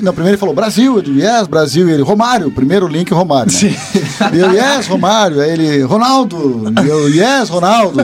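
Over noticeable background noise, a man with a high pitch speaks at a moderate pace, his pitch swinging very widely. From Bagé, Rio Grande do Sul, Brazil. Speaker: guest storyteller. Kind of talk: casual storytelling.

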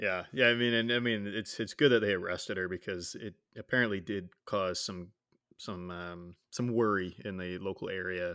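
A man's fairly low voice with a bright, sharp tone and fairly even intonation, on a very clean recording with a silent background. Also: moderate pace. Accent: Canadian. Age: 30s. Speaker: podcast co-host. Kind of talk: casual chat. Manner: casual, chatty.

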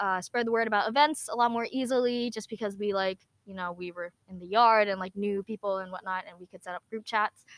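In an American accent, an unremarkable speaking voice comes through with ordinary pitch variation and a dry, close sound with no echo. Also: woman. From US Northeast, New Jersey. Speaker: university student and YouTuber. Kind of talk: casual interview chat. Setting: outdoors.

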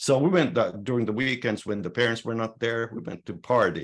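In a Finnish accent, a man speaks with vocal fry against a quiet background. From Finland. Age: 60s. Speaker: sauna society president. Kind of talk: interview. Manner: halting.

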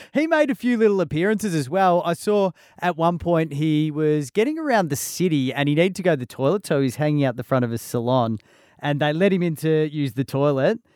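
With an Australian accent, a man talks at a fairly quick pace in a fairly high voice with lively intonation, on a very clean recording with a silent background and a dry, close sound with no echo. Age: 40s. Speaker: podcast host. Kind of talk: casual chat.

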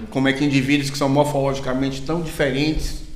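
Over noticeable background noise and audible room echo, a man with a Bahian accent talks at a fairly quick pace in a medium-pitched voice with fairly even intonation. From Brazil, Bahia (Salvador). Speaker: university professor of biology. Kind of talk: casual academic interview.

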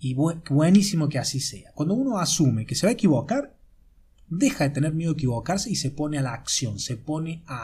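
With ordinary pitch variation, the man talks in a somewhat breathy voice. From Argentina, Córdoba. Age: 30s. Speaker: life coach. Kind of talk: podcast monologue. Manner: halting, many repetitions and fillers. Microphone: amateur recording, poor sound quality.

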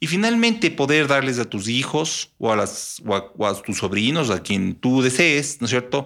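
In a very clean recording with a silent background, a man talks at a fairly slow pace. His pitch is medium and his intonation lively. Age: 50s. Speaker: businessman. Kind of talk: interview. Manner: halting.

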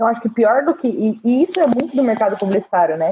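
A woman speaks with very wide pitch swings. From Brazil. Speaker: agency community manager. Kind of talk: casual panel discussion.

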